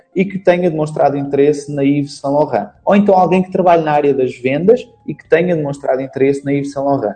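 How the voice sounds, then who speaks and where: Over noticeable background noise, the speech rushes along at a very fast pace, its pitch varying in an ordinary way. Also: man, fairly high pitch for a man. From Portugal. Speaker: Facebook marketing instructor. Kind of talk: interview.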